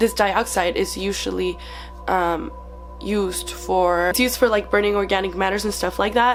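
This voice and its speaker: The speech moves at a moderate pace, with music in the background. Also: woman. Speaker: YouTuber. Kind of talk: casual talk to camera.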